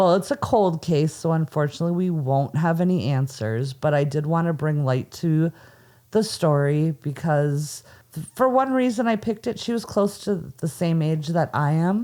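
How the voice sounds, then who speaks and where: A woman with an Upper Midwest accent speaks at a moderate pace in a dark, mellow tone, her fairly low pitch carrying lively intonation. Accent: Upper Midwest (Minnesota). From Minnesota. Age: 40s. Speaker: podcast host. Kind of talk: casual chat; storytelling.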